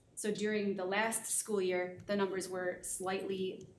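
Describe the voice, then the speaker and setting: The voice is monotone and flat. Audible room echo fills the recording. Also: woman. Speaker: school district assessment coordinator. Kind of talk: data presentation at board meeting. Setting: board room meeting. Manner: fast.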